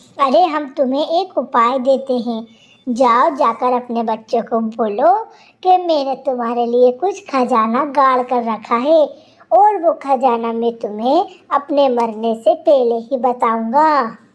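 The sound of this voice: The female-sounding voice is a cartoonish character voice, high-pitched and delivered at a fairly slow pace.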